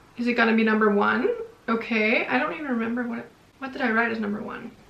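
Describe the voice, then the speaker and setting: A woman speaks at a fairly high pitch with ordinary pitch variation. Noticeable background noise and audible room echo fill the recording. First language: not English. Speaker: book youtuber. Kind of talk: casual vlog talk to camera. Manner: animated.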